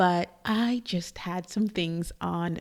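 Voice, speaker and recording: A woman's fairly low, dark, mellow voice with fairly even intonation, dry and close with no echo, in a very clean recording over a silent background. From Trinidad and Tobago. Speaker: podcast host. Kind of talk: casual monologue. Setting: studio. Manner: soft-spoken.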